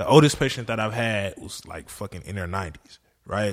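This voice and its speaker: A man at a moderate pace, an ordinary speaking voice with ordinary pitch variation. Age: 20s. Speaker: therapist at psych ward and rehab. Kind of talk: casual chat.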